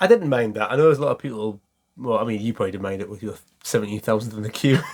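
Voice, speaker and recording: Speaking very fast in a Geordie accent, a man keeps a medium pitch with ordinary pitch variation and big swings in loudness. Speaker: football podcast co-host. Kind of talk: casual chat.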